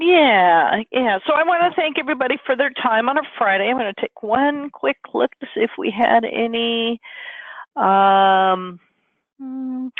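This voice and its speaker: Loud and high-pitched, a woman talks fairly slowly with lively intonation. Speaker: webinar host. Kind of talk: webinar wrap-up.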